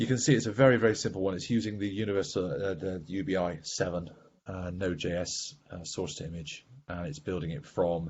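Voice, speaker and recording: The voice is somewhat breathy with ordinary pitch variation. It moves at a fairly quick pace. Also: man. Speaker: software architect giving a tech demo; presenter. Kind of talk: technical demo presentation. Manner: fast. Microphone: video call.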